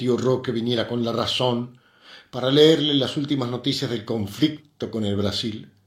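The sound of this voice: A reading voice, unforced.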